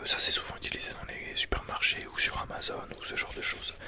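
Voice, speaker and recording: Whispering, a man can be heard against noticeable background noise. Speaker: ASMR creator. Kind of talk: ASMR book review. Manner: whispered.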